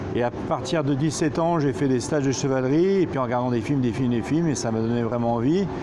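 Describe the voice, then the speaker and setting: Over noticeable background noise and audible room echo, a man speaks at medium pitch with ordinary pitch variation. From central France (Roanne, Loire). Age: 40s. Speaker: stuntman and horse trainer. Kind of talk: interview. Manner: hesitant, many fillers.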